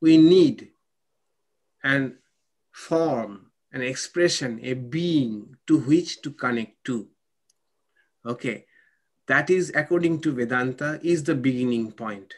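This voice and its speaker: At a very slow pace and with long, frequent pauses, a man talks at a fairly high pitch with ordinary pitch variation. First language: not English. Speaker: monk and spiritual teacher. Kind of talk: spiritual lecture with Q&A. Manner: halting.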